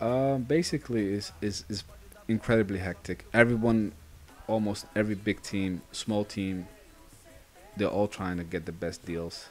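A man with a Dutch accent and a fairly low pitch, ordinary pitch variation, a moderate pace and long, frequent pauses. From Netherlands. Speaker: gaming YouTuber. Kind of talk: live gameplay commentary. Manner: casual, chatty with frequent fillers.

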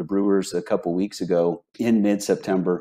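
A man uses a normal speaking voice at a fairly low pitch and moderate pace. His intonation is fairly even against a quiet background. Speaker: sports betting analyst, remote guest. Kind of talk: commentary. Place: home room. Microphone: earbuds.

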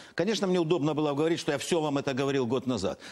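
Talking at a very fast pace, a man rushes through his words. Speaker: politician guest. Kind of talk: heated debate. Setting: studio. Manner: animated. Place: studio. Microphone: lapel.

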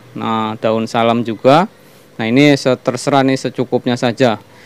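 The sound is dry with no echo as a man speaks at a fairly slow pace. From Banyumas, Central Java, Indonesia; Central Java, Indonesia. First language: Javanese (Banyumasan) (speaking Indonesian). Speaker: cooking channel host; channel host. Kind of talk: cooking tutorial. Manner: hesitant, many fillers. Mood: relaxed, friendly. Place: kitchen. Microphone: phone near.

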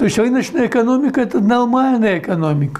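Lively intonation runs through this man's speech. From Belarus. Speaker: economist, former central bank head. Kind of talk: interview answer. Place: home room. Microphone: lapel.

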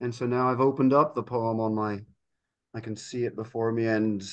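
The speaker is a man with a medium pitch. The background is quiet. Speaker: painter, poetry reader. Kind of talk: poem reading, warm chat. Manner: halting, warm, with fillers.

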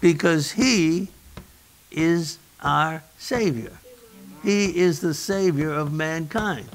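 A man speaks at a very slow pace in a high pitch, with ordinary pitch variation. Long pauses come often between his words. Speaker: pastor. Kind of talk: sermon. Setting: church. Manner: animated. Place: church.

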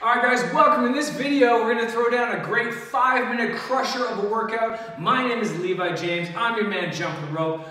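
A man talks in a raised, projected voice at a fairly quick pace. Audible room echo surrounds his ordinary pitch variation. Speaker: fitness instructor. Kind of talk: workout tutorial intro. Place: gym.

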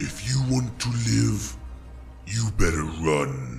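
A very slow, put-on character voice from a man comes through clear background noise. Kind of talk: audio drama.

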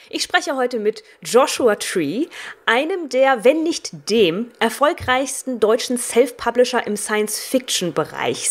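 At a fairly slow pace, a woman delivers her words in a high pitch. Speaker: interviewer. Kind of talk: radio interview questions.

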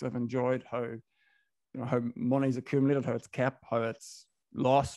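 Against a quiet background, a man with a Donegal accent speaks in a monotone, flat intonation, the sound dry with no echo. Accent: Donegal Irish accent, sounds Northern Irish. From Ireland, Inishowen, Donegal. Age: 30s. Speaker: business owner, club founder. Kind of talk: podcast interview. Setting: video call. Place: home room. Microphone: studio mic.

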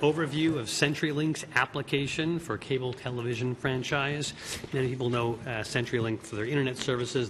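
A man talks at a very fast pace with hardly any pauses and fairly even intonation. Noticeable background noise sits behind him. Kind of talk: meeting chairing, reading briefing. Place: hall. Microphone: podium.

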